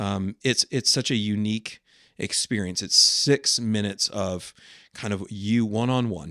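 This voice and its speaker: The voice has a bright, sharp tone, a fairly slow pace and ordinary pitch variation, captured in a very clean recording with a silent background and a dry, close sound with no echo. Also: man, fairly low pitch for a man. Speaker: campus pastor. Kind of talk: casual chat.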